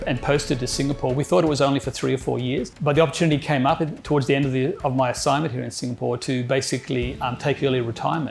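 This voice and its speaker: Over music in the background, a man talks at a very fast pace with a fairly high pitch. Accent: Australian. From Australia, rural New South Wales. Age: 60s. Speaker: retired geologist. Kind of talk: interview testimony. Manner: halting.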